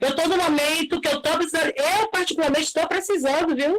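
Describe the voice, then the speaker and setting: With ordinary pitch variation, a woman talks in a high-pitched voice. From Brazil, Bahia (Salvador). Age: 50s. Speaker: sex worker, participant. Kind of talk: testimony in an online debate. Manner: halting.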